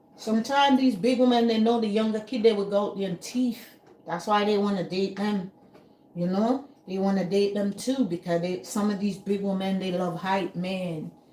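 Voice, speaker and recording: Medium-pitched woman at a moderate pace, with ordinary pitch variation and noticeable background noise. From Jamaica. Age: 60s. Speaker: YouTube commentator. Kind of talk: casual opinion rant. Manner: animated.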